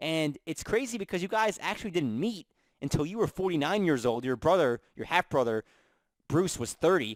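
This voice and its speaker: A man with a fairly high voice swings his pitch very widely, recorded dry and close with no echo. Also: moderate pace. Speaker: sports interview show host. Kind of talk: radio-style interview hosting.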